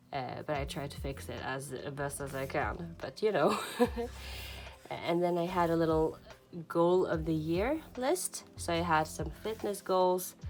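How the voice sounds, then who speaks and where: In a Swedish accent, a woman speaks with a very deep, low pitch. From Sweden. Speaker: journaling vlogger. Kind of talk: casual flip-through walkthrough. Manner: hesitant, many fillers.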